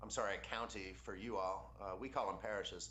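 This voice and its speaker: In an American accent, a man speaks at a moderate pace, with audible echo from the room. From Louisiana, New Orleans. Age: 30s. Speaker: congressional candidate. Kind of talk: interview.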